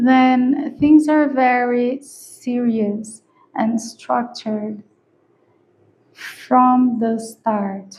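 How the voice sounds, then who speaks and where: Speaking very slowly with a non-native accent, a woman keeps her intonation fairly even. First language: not English. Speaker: tarot reader. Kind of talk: tarot reading. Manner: casual, conversational with hesitations.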